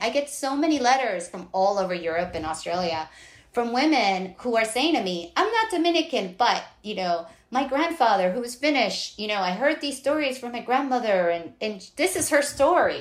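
Very wide pitch swings in a New York accent. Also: woman, high pitch for a woman, moderate pace. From New York City. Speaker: novelist. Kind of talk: interview. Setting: at home, remote call.

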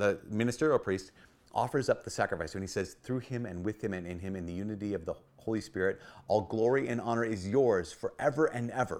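Speaking very fast, a man uses lively intonation. He has an American accent. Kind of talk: short video homily on the Mass. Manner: earnest, urgent exhortation to the congregation; animated, conversational storyteller.

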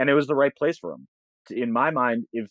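A man speaks at a fairly quick pace in an ordinary speaking voice, with an American accent, over a quiet background. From Boston suburbs, US. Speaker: lab executive director. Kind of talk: interview conversation.

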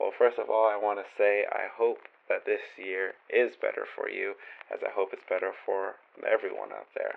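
Moderate-paced male speech against noticeable background noise. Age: 20s. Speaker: podcast host reading listener writing. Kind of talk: podcast monologue with readings. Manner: casual, with filler words.

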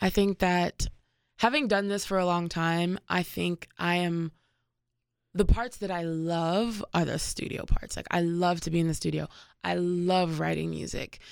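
A woman with an unremarkable speaking voice and an American accent, fairly low in pitch, fairly slow and fairly even in intonation, on a very clean recording with a silent background. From Washington, D.C. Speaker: musician. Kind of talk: interview.

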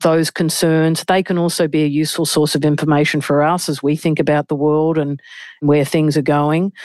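The voice carries an Australian accent. The sound is dry and close with no echo, over a quiet background. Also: woman. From Australia, Melbourne. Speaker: senior investment banker. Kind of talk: interview.

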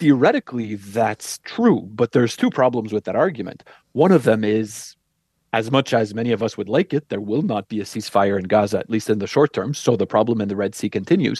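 On a dry, close recording with no echo, a man with an unremarkable speaking voice talks at a medium pitch and a fairly quick pace, with ordinary pitch variation. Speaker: professor of international affairs. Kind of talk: radio interview.

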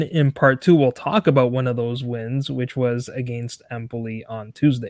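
With a normal speaking voice at medium pitch, a man keeps a moderate pace with hardly any pauses while his loudness makes big swings. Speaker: football podcast host. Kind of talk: casual interview.

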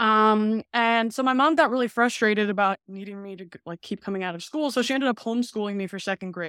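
This woman speaks very fast, with hardly any pauses, at a fairly high pitch with ordinary pitch variation and big swings in loudness. The recording is very clean with a silent background and a dry, close sound with no echo. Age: 30s. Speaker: nutrition researcher and health consultant. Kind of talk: interview.

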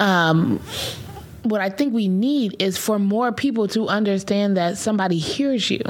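With noticeable background noise behind her, a woman speaks at a moderate pace in a medium pitch, with ordinary pitch variation and an animated tone. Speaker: podcast co-host. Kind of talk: casual chat.

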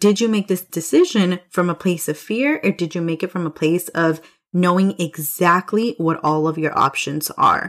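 A woman with a fairly low pitch speaks at a moderate pace in an animated tone, with ordinary pitch variation and hardly any pauses. The recording is very clean, with a silent background. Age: 20s. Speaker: business coach, podcast host. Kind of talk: solo podcast monologue; sales pitch.

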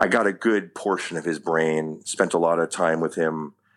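Speaking at a fairly slow pace with a New York accent, a man with a very deep, low pitch is heard in a very clean recording with a silent background. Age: 40s. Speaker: actor. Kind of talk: casual interview chat. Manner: animated.

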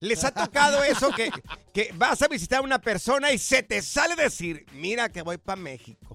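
At a moderate pace, a man with an extremely high pitch uses a raised, projected voice, an animated tone and very wide pitch swings. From Mexico, Jalisco (rural). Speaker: radio host. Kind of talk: casual chat. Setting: studio.

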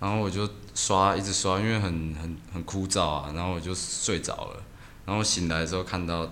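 Very deep, low male speech, fairly level in intonation, with noticeable echo from the room. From Taiwan, Hualien. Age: 20s. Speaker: tattoo artist. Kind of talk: casual chat.

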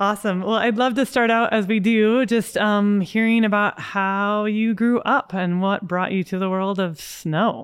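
A woman has a normal speaking voice at medium pitch, with fairly even intonation and very even loudness. She goes at a fairly slow pace with hardly any pauses, on a very clean recording with a silent background. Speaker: podcast host and mountain guide. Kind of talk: casual interview with scripted intro.

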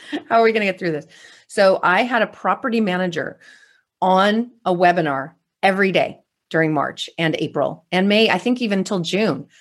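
In a very clean recording with a silent background, a woman with an American accent uses an ordinary speaking voice with ordinary pitch variation. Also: medium pitch for a woman, moderate pace. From California. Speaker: real estate investor and educator. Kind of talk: interview.

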